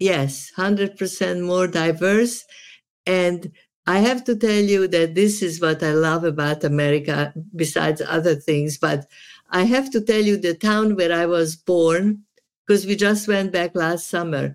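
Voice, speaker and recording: In a Hungarian accent, a woman talks at a fairly slow pace and fairly low pitch. Her loudness stays very even, and her pitch varies in an ordinary way. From Serbia. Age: 80s+. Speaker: therapist. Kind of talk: casual chat. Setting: video call. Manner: animated.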